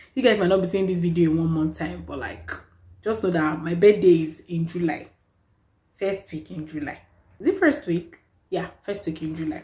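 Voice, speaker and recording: Somewhat breathy and fairly low, a woman's voice with a dark, mellow tone moves at a moderate pace with ordinary pitch variation and long, frequent pauses. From Nigeria. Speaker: vlogger. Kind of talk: casual vlog talk to camera. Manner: animated. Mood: cheerful, playful. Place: home room. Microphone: phone near.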